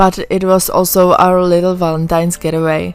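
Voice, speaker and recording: At a moderate pace, a woman speaks at medium pitch with a non-native accent. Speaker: travel vlogger. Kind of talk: vlog voiceover narration. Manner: casual, friendly.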